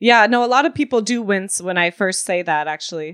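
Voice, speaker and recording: A woman's plain, everyday voice at a moderate pace, with lively intonation and a dry, close sound free of echo. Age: 20s. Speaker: DJ and producer. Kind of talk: interview. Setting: remote call.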